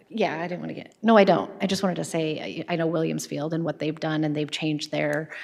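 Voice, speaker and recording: A woman speaks at a very fast pace with hardly any pauses. Her very deep, low voice has vocal fry and ordinary pitch variation. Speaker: school board member. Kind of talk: public meeting discussion. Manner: loud; halting.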